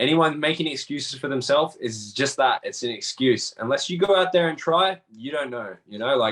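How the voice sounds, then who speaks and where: With an Australian accent, a man of fairly high pitch talks at a moderate pace with ordinary pitch variation and hardly any pauses. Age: 30s. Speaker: MMA fighter and tattoo artist. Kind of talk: interview. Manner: animated.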